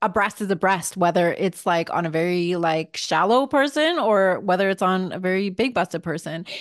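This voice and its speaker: Speaking at a moderate pace, a woman uses a normal speaking voice and lively intonation. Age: 40s. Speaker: podcast host and lingerie designer. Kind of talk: casual chat.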